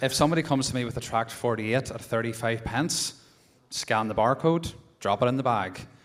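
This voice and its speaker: A man with a Northern Irish accent talks at a fairly quick pace. His pitch is medium. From Northern Ireland. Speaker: postmaster in audience. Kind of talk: heated debate. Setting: conference hall with audience.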